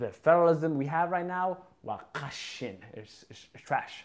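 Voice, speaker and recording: A fairly slow pace with an American accent, ordinary pitch variation, long, frequent pauses and big swings in loudness, over a quiet background. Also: man. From US, Boston. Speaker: YouTuber. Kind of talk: live stream chat. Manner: casual, unscripted. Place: home room. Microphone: phone near.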